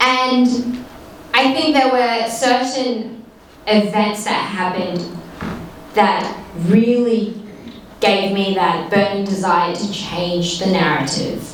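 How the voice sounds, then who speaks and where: Amid noticeable background noise and audible room echo, a woman with an Australian accent and a fairly high pitch speaks very slowly, with long, frequent pauses and ordinary pitch variation. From Australia, Perth (arrived from Afghanistan aged eight). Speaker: politician. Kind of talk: personal story at a panel talk.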